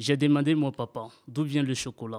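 Talking at a moderate pace with fairly even intonation, a man at a medium pitch is heard on a very clean recording with a silent background and a dry, close sound with no echo. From Ivory Coast. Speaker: radio workshop participant. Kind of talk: fictional storytelling.

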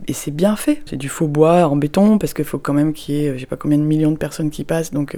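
Through noticeable background noise comes a woman's voice at a fairly low pitch. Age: 40s. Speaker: parent recounting a Disneyland visit. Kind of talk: personal testimony.

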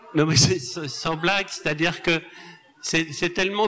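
Fairly high male voice amid noticeable background noise. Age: 70s. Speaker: novelist and journalist. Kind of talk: public literary talk. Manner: halting, repeating words.

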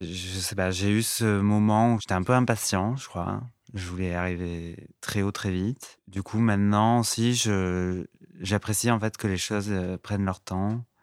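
Fairly low in pitch, a man speaks at a fairly slow pace with fairly even intonation. The recording is very clean, with a silent background. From France, Lot (southwest). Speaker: fashion stylist. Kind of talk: interview. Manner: halting, many hesitations.

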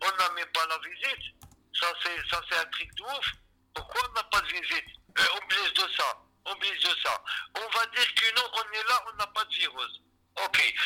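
A man talks fairly slowly, with long pauses that come frequently. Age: 50s. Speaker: detainee. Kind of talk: testimony. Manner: agitated; halting.

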